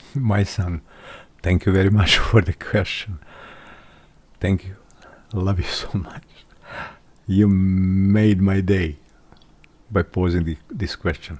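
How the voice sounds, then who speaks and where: The speaker has a non-native accent and a fairly even intonation. Delivery is very slow, with long, frequent pauses. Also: man, very deep, low pitch for a man. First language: not English. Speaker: vlogger. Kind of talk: personal monologue. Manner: halting.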